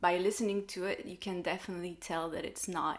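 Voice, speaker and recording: A woman speaks with a French accent. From France. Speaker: light language channel and sound healer. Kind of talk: live online discussion.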